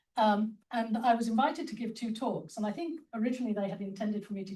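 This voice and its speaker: Speaking at a very fast pace with a British accent, a woman has a dark, mellow tone that is somewhat breathy. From England, London. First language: Spanish. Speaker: mathematician and academic leader. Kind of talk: conference talk.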